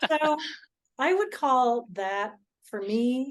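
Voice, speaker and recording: This woman speaks with lively intonation. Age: 60s. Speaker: clairvoyance teacher. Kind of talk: casual interview chat.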